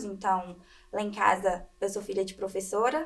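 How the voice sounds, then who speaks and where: With a normal speaking voice, a woman talks at medium pitch and a moderate pace. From interior of Minas Gerais, Brazil. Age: 20s. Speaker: medical student. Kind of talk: interview.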